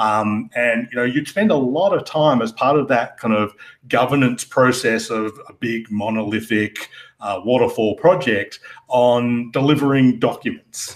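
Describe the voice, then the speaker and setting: A man's medium-pitched voice with an Australian accent, fairly slow, with ordinary pitch variation. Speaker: security architect. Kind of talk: podcast interview. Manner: hesitant, many fillers.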